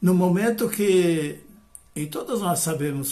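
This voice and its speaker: A man talks at a fairly slow pace with ordinary pitch variation, and room echo is audible. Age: 70s. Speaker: retired professor and biodanza facilitator. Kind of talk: lecture. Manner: hesitant, many fillers.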